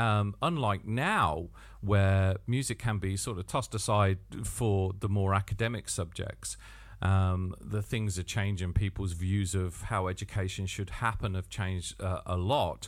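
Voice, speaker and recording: A fairly low-pitched man with an English Midlands accent, fairly slow and fairly even in intonation. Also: very clean recording, silent background. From Northamptonshire, England. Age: 50s. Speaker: podcaster and drummer. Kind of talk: solo podcast monologue. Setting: home studio.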